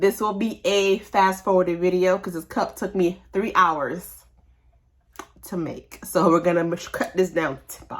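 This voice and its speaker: A woman has a plain, everyday voice at a medium pitch, with ordinary pitch variation. She speaks at a fairly slow pace, with big swings in loudness. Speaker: crafter showing a cup customization. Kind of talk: crafting walkthrough voiceover. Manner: casual, chatty.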